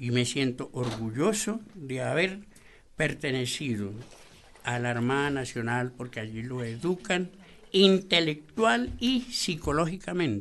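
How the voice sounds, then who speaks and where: A man speaks at a very slow pace with medium pitch. His intonation is lively. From Colombia, Boyacá. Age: 80s+. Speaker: retired navy petty officer. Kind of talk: radio interview. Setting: studio.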